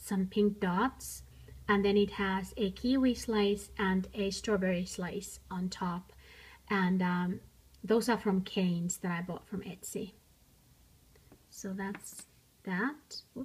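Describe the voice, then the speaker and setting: A woman's somewhat breathy, medium-pitched voice, with fairly even intonation, a very slow pace, and long, frequent pauses. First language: not English. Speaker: miniature crafts YouTuber. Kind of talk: show-and-tell tutorial. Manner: casual, hesitant with fillers.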